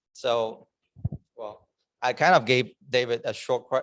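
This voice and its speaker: At a moderate pace, a man talks with a non-native accent. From China. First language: Chinese. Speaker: club member giving a speech. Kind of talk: prepared speech. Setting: club meeting in person, also on Zoom.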